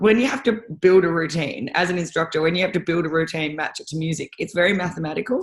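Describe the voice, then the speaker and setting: A woman with an Australian accent, fairly low-pitched and animated, at a very fast pace with hardly any pauses and ordinary pitch variation. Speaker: rowing and ski erg coach. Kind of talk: casual chat.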